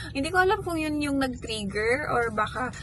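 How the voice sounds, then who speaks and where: Audible room echo around a woman's moderately paced speech. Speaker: vlogger, mother. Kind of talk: casual vlog talk. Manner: soft-spoken in the morning.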